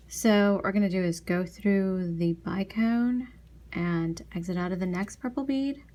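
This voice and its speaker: A soft-spoken woman with a dark, mellow tone and a somewhat breathy voice speaks fairly slowly at a medium pitch, with ordinary pitch variation. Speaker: beading tutorial youtuber. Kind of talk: tutorial. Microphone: quiet recording volume despite maxed mic.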